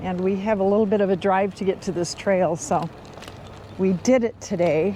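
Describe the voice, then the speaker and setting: A woman at medium pitch speaks at a moderate pace with ordinary pitch variation. Noticeable background noise is present. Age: old. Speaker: recumbent trike rider, vlogger. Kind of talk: casual talk to camera while riding. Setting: outdoors.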